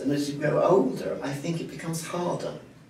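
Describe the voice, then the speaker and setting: Noticeable background noise and audible room echo fill the recording. Within them, a man speaks at a fairly slow pace. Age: 60s. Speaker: playwright. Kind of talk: interview. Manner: halting.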